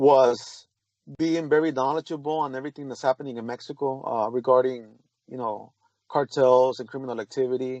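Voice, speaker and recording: A man of medium pitch at a fairly quick pace, with fairly even intonation. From San Diego, California (born in Tijuana). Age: 40s. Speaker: private security worker. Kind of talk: interview. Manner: halting, repeats words.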